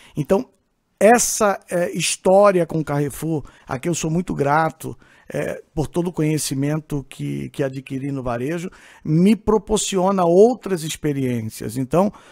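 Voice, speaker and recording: In a very clean recording with a silent background and a dry, close sound with no echo, a man speaks fairly slowly at a fairly high pitch. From Brazil, Pernambuco (Northeast), moved to São Paulo young. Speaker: supermarket executive, CEO. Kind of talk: podcast interview. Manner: hesitant, many filler sounds.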